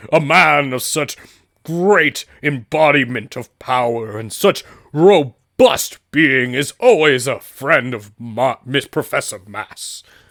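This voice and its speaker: A man puts on a character voice at a medium pitch and a fairly slow pace. The recording is very clean, with a silent background and a dry, close sound with no echo. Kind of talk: comic overacting. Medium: actual play. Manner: pompous, theatrical.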